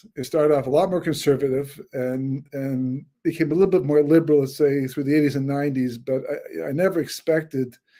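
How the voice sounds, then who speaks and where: At a fairly quick pace, a man talks with a fairly high pitch and a dark, mellow tone. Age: 60s. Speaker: rabbi and author. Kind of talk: lecture. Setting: webinar. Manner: halting.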